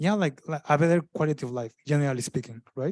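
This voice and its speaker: A man speaks with a strong non-native accent. The sound is dry and close with no echo, on a very clean recording with a silent background. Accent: thick non-native. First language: not English. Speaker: panelist, migrant professional. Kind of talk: panel discussion. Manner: halting, many fillers and restarts.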